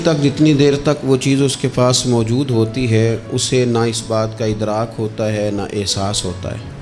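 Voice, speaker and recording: Through noticeable background noise, a man talks at medium pitch with ordinary pitch variation. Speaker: Islamic preacher giving a sermon. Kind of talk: religious sermon (bayan). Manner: emotional, preaching, speaking with feeling.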